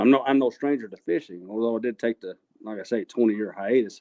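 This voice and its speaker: Ordinary pitch variation and a fairly quick pace in a man's voice of medium pitch. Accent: Texan. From West Texas, Abilene area. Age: 60s. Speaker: kayak fishing tournament winner, machinist. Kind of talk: casual interview chat. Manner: halting, repeats words.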